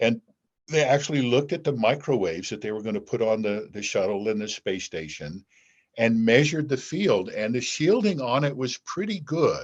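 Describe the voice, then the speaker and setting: The voice swings very widely in pitch against a quiet background. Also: man, medium pitch for a man. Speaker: physician, former space agency medical director. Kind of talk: interview. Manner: fast.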